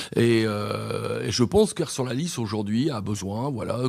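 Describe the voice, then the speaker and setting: A man talks fairly slowly, his medium pitch rising and falling in an ordinary way. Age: 60s. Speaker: mayoral candidate. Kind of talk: radio interview. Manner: halting, many hesitations.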